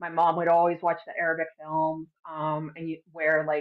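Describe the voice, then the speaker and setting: The speaker talks at a moderate pace with a Midwestern accent. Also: woman. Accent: American Midwest. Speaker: dancer. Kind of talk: interview. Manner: casual, many fillers.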